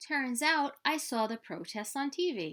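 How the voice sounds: A woman's high, fairly bright voice with big pitch swings at a fairly slow pace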